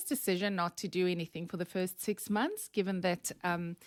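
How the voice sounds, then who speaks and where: A woman with a South African accent speaks at a medium pitch on a very clean recording with a silent background, dry and close with no echo. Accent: Afrikaans South African. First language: Afrikaans. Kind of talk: podcast interview.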